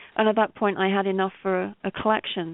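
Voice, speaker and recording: A woman's medium-pitched voice with a British accent and fairly even intonation. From Britain. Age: 50s. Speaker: novelist and poet. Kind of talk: interview. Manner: hesitant, many fillers and repeats.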